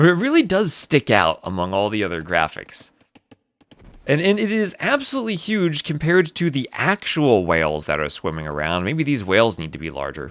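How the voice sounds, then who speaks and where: Talking at a fairly quick pace, a man with a New Jersey accent makes very wide pitch swings. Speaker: esports caster. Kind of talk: live commentary. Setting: live stream. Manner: fast; animated.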